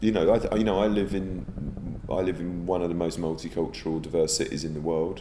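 Audible room echo follows a man speaking at a very fast pace. His very deep, low voice keeps fairly even intonation. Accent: English. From England. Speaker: theatre director. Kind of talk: interview. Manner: halting, repeating words.

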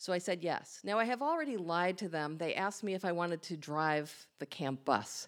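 A woman with an American accent talks in an ordinary speaking voice, fairly low in pitch, at a fairly quick pace with lively intonation. The recording is very clean, with a silent background. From Long Island, New York. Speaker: storyteller. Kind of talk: live storytelling. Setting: stage with audience.

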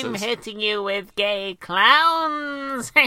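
A put-on character voice, female-sounding and fairly high-pitched, with a menacing, theatrical tone

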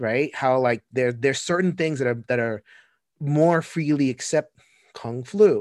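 At a fairly slow pace, a man talks with ordinary pitch variation, the sound dry and close with no echo against a quiet background. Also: fairly high pitch for a man. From US Northeast (Brooklyn, New York). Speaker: podcast host. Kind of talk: casual chat. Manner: animated.

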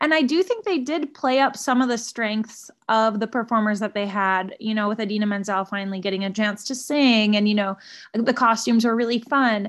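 Against a quiet background, a woman with a normal speaking voice and fairly high pitch talks at a fairly quick pace, with ordinary pitch variation and hardly any pauses. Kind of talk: casual chat.

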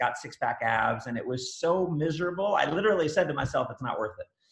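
In a normal speaking voice, a man talks with lively intonation at a fairly high pitch. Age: 40s. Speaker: author and network marketing trainer. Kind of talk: casual interview chat.

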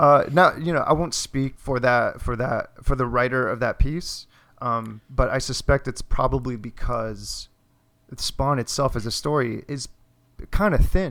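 Spoken with an American accent in a normal speaking voice, the delivery moves at a fairly slow pace with ordinary pitch variation. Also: man, medium pitch for a man. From Miami, Florida. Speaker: comic artist. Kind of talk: casual chat. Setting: remote recording with microphones.

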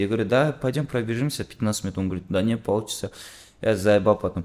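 Fairly low-pitched, a man talks at a fairly quick pace with ordinary pitch variation. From Kazakhstan. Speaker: musician. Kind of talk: casual chat.

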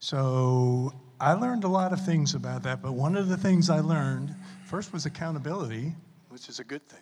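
Here a man is speaking. His voice is somewhat breathy with ordinary pitch variation. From New Orleans, Louisiana. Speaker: church panelist, grandfather. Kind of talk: panel discussion.

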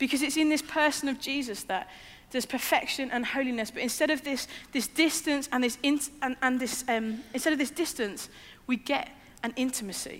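A woman speaks in a high voice at a fairly quick pace. Her pitch varies in an ordinary way. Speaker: preacher. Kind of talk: sermon. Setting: church with screens. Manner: hesitant, with many fillers.

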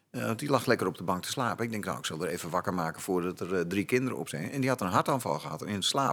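A man speaks at a very fast pace with hardly any pauses. His pitch is very deep and low, yet it swings very widely. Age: 50s. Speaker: actor turned firefighter and instructor. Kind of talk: casual chat.

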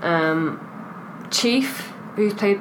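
A woman with a British accent, amid noticeable background noise and audible room echo. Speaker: podcast co-host. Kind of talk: casual chat. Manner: animated.

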